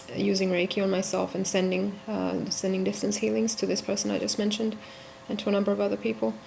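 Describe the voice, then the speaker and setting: A soft-spoken woman at a very fast pace, with ordinary pitch variation. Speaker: vlogger. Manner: halting.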